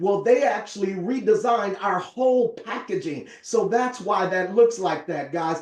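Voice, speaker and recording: A man speaks in a high pitch with an animated tone, at a moderate pace with hardly any pauses. Noticeable background noise runs behind him. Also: ordinary pitch variation. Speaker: network marketing presenter. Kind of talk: sales pitch.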